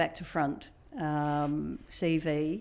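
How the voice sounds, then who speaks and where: The audio is very clean, with a fully silent background. A woman talks in an Australian accent. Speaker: biotech executive and physician. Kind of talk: interview.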